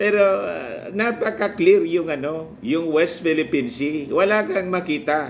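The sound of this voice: Slowly, a man speaks at a fairly high pitch with ordinary pitch variation. His tone is fairly bright.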